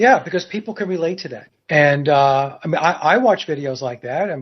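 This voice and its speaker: A man uses an ordinary speaking voice, fairly high in pitch, with lively intonation. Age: 60s. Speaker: guitar YouTuber and musician. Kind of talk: casual chat.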